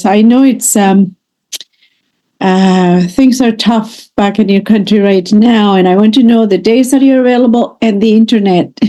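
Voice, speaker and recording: A woman's fairly high voice carries a dark, mellow tone, her intonation fairly even. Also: moderate pace, very even loudness. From Canada. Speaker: English teacher. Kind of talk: online lesson conversation.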